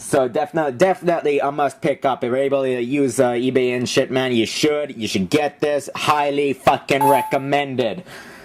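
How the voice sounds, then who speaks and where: Amid noticeable background noise, a man with a fairly high voice talks at a fairly quick pace with hardly any pauses and ordinary pitch variation. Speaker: vlogger reviewing his DVD collection. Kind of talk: casual video review. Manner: fast; animated.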